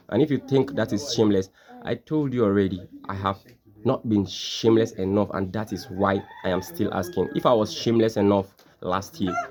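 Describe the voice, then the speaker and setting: This man talks at a fairly quick clip in a fairly low pitch, with ordinary rise and fall. Noticeable background noise runs under his voice. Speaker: social media content creator. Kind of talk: casual monologue. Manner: fast; animated.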